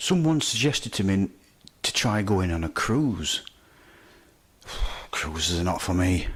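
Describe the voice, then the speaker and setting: A man's fairly low, somewhat breathy voice in a Yorkshire accent, with lively intonation, a fairly slow pace and long, frequent pauses. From Yorkshire, Barnsley. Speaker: amateur comedian. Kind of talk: stand-up.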